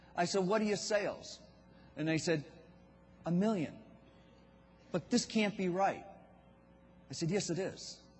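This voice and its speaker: Using long, frequent pauses, a man with a Boston accent speaks in a high pitch with ordinary pitch variation, and audible room echo is present. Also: moderate pace. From Boston, US New England. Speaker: business speaker for contractors. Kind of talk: keynote speech. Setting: stage with audience.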